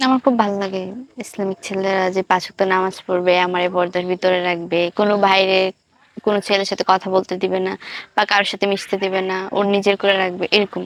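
A woman with a medium pitch speaks in monotone, flat intonation, the sound dry and close with no echo. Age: 20s. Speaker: young woman seeking marriage. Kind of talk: interview answers.

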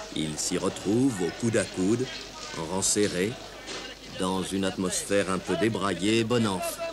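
Over music in the background, a man with fairly low pitch and ordinary pitch variation speaks at a fairly slow pace with long, frequent pauses. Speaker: documentary narrator. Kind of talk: documentary narration.

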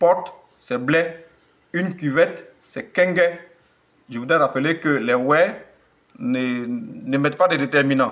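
Lively intonation carries this very slow speech, broken by long, frequent pauses. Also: man. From Côte d'Ivoire, Wê region (Facobly). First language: Wê (speaking French). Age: old. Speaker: language teacher. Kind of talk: tutorial. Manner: slow, repetitive.

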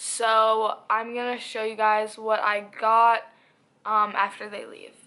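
Her tone is bright and sharp as the woman talks at a very slow pace with fairly high pitch. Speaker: lifestyle vlogger. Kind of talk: casual vlog. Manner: casual, filler words.

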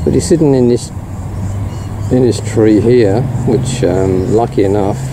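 Noticeable background noise runs under speech delivered at a fairly slow pace. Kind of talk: casual nature commentary. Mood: admiring, relaxed. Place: street. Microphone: phone near.

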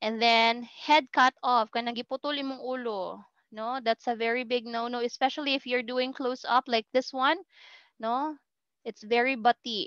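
A high-pitched woman with a Filipino accent, fairly even intonation and moderate pace, dry sound with no echo and a quiet background. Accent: Filipino English, Cebuano-speaking. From Philippines. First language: Cebuano. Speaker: university lecturer. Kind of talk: lecture. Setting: video call. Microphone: video call.

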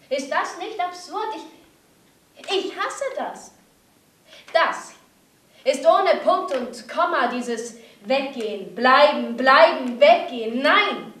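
A woman's high voice at a very slow pace, with long, frequent pauses, big swings in loudness and audible room echo. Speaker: actress. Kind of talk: dramatic theatre monologue. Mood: distressed, angry, desperate. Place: stage.

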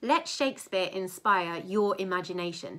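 Over a quiet background, a woman with a bright, sharp tone speaks at a moderate pace. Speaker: presenter. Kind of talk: tutorial. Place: home room. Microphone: webcam.

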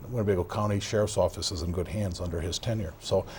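Speaking very fast, a man with an American accent sounds somewhat breathy. His voice is fairly low, with fairly even intonation. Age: 60s. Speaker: outgoing county sheriff. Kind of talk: TV interview. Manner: halting, many fillers and repetitions.

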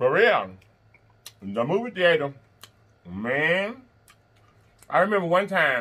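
The tone is bright and sharp, with very wide pitch swings. The pace is very slow. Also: man. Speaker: mukbang host. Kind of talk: casual vlog chat while eating.

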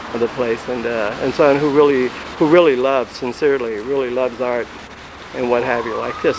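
Over noticeable background noise, a man talks at a fairly quick pace with fairly even intonation in a dry sound with no echo. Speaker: interviewer. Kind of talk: informal interview chat. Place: street. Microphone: old recording.

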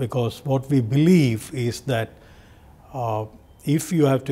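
A somewhat breathy male voice. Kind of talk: interview answer. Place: office. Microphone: lapel.

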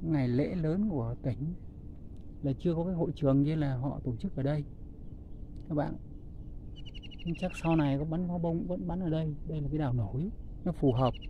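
The sound is dry with no echo and light background noise, and the speech moves at a moderate pace with long, frequent pauses. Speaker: vlogger filming a walk. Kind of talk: casual vlog chat. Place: waterside. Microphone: phone near.

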